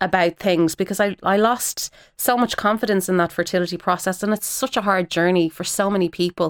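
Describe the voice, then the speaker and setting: A woman with an Irish accent speaks at medium pitch and a fairly quick pace with hardly any pauses. Her intonation is fairly even, and the recording is very clean with a silent background. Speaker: actress. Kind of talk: radio interview.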